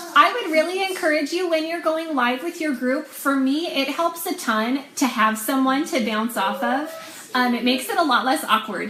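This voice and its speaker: A woman with a high pitch speaks in a raised, projected voice with lively intonation. She keeps a moderate pace with hardly any pauses, over noticeable background noise. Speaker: online clothing seller and sales coach. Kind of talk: casual training talk on a live video.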